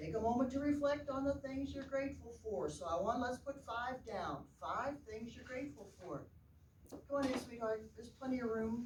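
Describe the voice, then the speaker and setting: The woman's voice is high, with ordinary pitch variation. She speaks at a moderate pace amid audible room echo. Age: 60s. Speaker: parenting speaker and former teacher. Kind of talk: workshop talk. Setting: room with live audience. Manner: animated.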